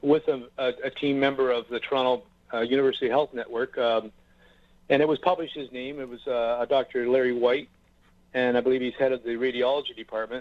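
This is a man with an unremarkable speaking voice at medium pitch. He talks at a fairly quick pace with fairly even intonation. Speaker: mayor and cancer patient. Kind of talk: radio interview. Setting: phone call.

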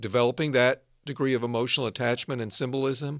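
A man with an American accent has a plain, everyday voice at a medium pitch. He keeps a moderate pace and fairly even intonation. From US South, Arkansas. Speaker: podcast host, medical school dean. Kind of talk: interview conversation; scripted outro.

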